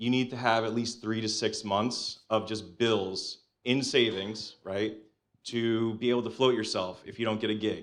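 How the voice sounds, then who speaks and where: Against a quiet background, a man talks with a New Jersey accent in a monotone, flat intonation. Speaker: financial advisor and artist. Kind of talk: panel discussion.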